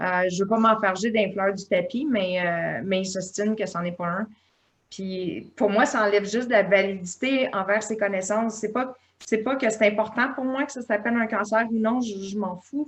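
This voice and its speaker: A woman speaks at a medium pitch in a Quebec accent. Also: ordinary pitch variation, moderate pace. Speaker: patient. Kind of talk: patient testimony. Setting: online video meeting. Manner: hesitant.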